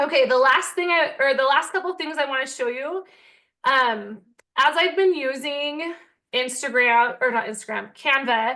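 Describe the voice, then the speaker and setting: A woman projects a raised, high-pitched voice with a bright, sharp tone. She keeps a moderate pace and ordinary pitch variation over a quiet background. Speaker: teacher-author and online seller. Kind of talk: tutorial. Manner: animated.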